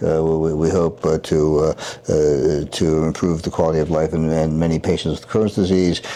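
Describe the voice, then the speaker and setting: A man speaks in a very deep, low pitch with monotone, flat intonation. His pace is moderate, and there is noticeable background noise. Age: 70s. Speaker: surgeon. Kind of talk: interview. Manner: halting, many fillers and repetitions.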